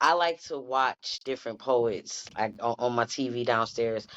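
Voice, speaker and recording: A woman speaks in a very deep, low pitch. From US Midwest, Detroit. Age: 30s. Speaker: poet. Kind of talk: casual chat. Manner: nonchalant tone.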